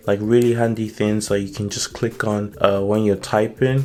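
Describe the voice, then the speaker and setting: There is noticeable background noise behind this voice. A man talks at a moderate pace and a medium pitch. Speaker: tech YouTuber reviewing jailbreak tweaks. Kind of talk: casual tutorial walkthrough. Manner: casual, filler-heavy.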